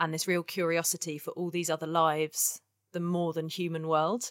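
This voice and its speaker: In a southern English accent, a woman speaks at a fairly low pitch, the sound dry and close with no echo. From southern England (Kent). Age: 30s. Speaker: ecological artist. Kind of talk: interview.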